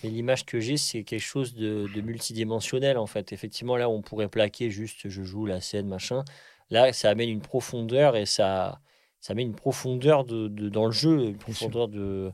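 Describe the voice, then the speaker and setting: Recorded very cleanly against a silent background, a man uses a normal speaking voice at a moderate pace with fairly even intonation. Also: medium pitch for a man. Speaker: podcast host, actor. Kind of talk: casual interview chat.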